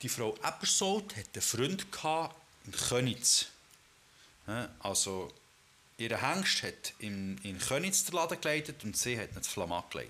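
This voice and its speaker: A man speaks at a fairly slow pace with long, frequent pauses, his medium-pitched voice swinging very widely up and down. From Switzerland, Bern area (Ostermundigen) and Düdingen. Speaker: podcast co-host. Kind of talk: casual chat.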